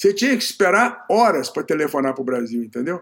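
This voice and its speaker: A man speaks with very wide pitch swings. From Brazil, Niterói (Rio de Janeiro state). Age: 80s+. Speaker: management consultant and author. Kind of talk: interview.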